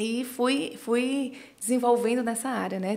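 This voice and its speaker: Noticeable background noise accompanies a woman speaking with a Ceará accent. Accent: Northeastern Brazilian (Ceará). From Ceará, Brazil. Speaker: business and life management consultant. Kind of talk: podcast interview.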